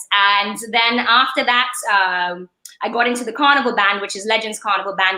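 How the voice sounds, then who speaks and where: Loud and bright, with a sharp tone, the voice moves at a moderate pace with fairly even intonation. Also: woman. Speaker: attorney and creative entrepreneur. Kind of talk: podcast interview. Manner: expressive.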